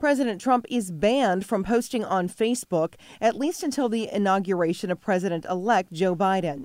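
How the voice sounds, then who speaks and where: A plain, everyday voice with lively intonation at a fairly quick pace, on a very clean recording with a silent background. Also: woman. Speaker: news anchor. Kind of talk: news reading, brisk scripted local TV news bulletin. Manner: formal, crisp and steady; even-paced, authoritative delivery.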